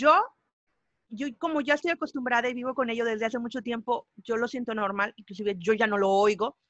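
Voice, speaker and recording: A woman's fairly high voice at a fairly quick pace, ordinary pitch variation, and a dry, close sound with no echo. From Mexico. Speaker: musician and podcaster. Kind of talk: interview.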